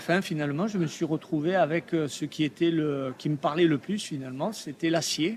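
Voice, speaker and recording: Talking at a moderate pace, a man uses a fairly high pitch. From Provence, southern France. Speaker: artist. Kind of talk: interview. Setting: trade fair. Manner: hesitant, many fillers.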